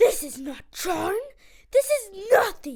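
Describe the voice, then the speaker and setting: A female-sounding voice performs a put-on character voice, pitched extremely high with very wide pitch swings. The delivery moves at a fairly slow pace. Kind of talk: school play. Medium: stage play. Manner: imperious, curt.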